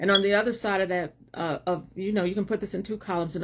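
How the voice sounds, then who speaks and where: The woman talks at a very fast pace with vocal fry. The recording is very clean, the background silent. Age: 60s. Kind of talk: livestream talk. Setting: live video stream.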